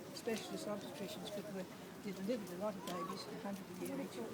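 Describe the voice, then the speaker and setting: A woman with an Australian accent, with noticeable background noise and audible room echo. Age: 90s. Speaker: retired doctor. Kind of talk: speech at a protest rally. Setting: outdoor rally. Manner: halting.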